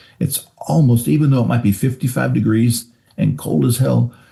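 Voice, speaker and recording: Speaking fairly quickly with an American accent, this man has a dark, mellow tone with vocal fry and very wide pitch swings. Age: 60s. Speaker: retired highway patrol officer. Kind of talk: interview.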